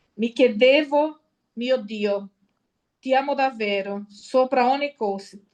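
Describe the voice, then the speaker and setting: Speaking with a Brazilian accent, a woman talks at a very slow pace. Her voice is high, with ordinary pitch variation. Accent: Brazilian Portuguese accent in Italian. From Brazil (Sergipe). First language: Portuguese (speaking Italian). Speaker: lay missionary giving testimony. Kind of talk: personal testimony at a conference. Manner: halting, many fillers and self-corrections.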